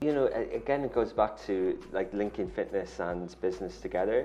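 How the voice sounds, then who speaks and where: A man with an Irish accent speaks at a moderate pace. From Ireland. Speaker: media company founder and CEO; guest. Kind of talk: interview. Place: studio. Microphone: lapel.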